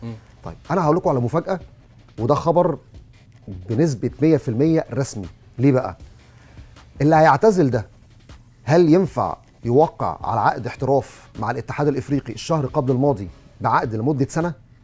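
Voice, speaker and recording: Faint music plays behind a man at a fairly high pitch with lively intonation. He keeps a moderate pace broken by long, frequent pauses. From Egypt. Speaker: football journalist. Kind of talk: sports news talk show. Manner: animated. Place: studio.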